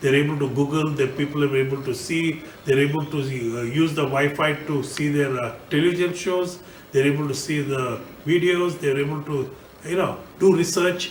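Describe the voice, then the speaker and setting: Over noticeable background noise and audible room echo, a man with a fairly high voice speaks at a moderate pace with fairly even intonation. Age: 60s. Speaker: politician and engineer. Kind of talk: recorded video message. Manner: halting, many fillers.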